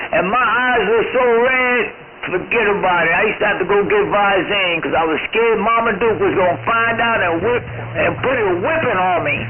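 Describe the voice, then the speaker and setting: Moderate pace, ordinary pitch variation and very even loudness, with audible room echo and noticeable background noise. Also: man, high pitch for a man. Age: 60s. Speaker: CB radio operator. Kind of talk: casual chat.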